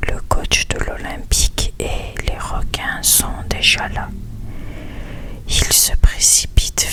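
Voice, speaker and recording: A man whispers at a very slow pace. Background noise is noticeable. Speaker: ASMR content creator. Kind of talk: whispered story reading. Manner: whispered, soft-spoken.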